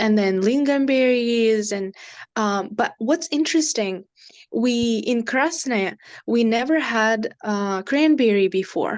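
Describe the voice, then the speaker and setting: Very slowly, a woman talks against a quiet background. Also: fairly high pitch for a woman, ordinary pitch variation. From northern Russia, Nenets Autonomous Okrug. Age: 20s. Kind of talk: interview. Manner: hesitant, many fillers.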